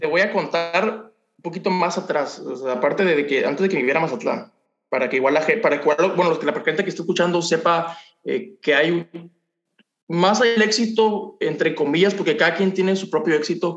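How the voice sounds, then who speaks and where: A man speaks at a fairly quick pace in a Mexican accent. His pitch is high. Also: ordinary pitch variation. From Mexico, Ciudad del Carmen, Campeche. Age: 20s. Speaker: young entrepreneur, cleaning business owner. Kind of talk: interview testimony.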